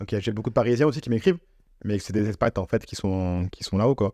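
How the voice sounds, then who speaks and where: A man talks at a very fast pace with a fairly low pitch and a dark, mellow tone. His ordinary pitch variation sounds dry and close with no echo against a quiet background. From Nice, France. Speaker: football content creator. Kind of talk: podcast interview. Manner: casual, repetitive hesitations.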